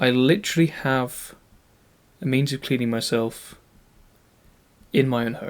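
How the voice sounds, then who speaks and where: A man with a British accent speaks at a fairly slow pace, with long, frequent pauses. His medium pitch shows ordinary variation, on a very clean recording with a silent background. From UK. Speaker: YouTuber. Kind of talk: scripted narration.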